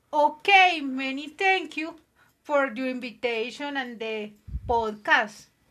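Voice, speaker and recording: Using a raised, projected voice, a woman with a Colombian paisa accent speaks at a very slow pace, her high pitch carrying a bright, sharp tone and lively intonation. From Colombia, Medellín (paisa). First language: Spanish. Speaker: guest in language-class podcast. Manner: halting.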